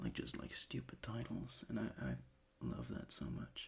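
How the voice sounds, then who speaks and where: Vocal fry runs through a man's very deep, low voice. He speaks at a fairly slow pace with ordinary pitch variation. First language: not English. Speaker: ASMR creator. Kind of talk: casual ASMR chat. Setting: bedroom desk. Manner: halting.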